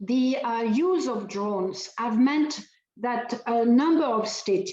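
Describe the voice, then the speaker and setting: A woman speaks in a French accent. Her pitch is fairly high and her pace fairly slow. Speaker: human rights advocate. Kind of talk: keynote lecture. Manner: hesitant with fillers.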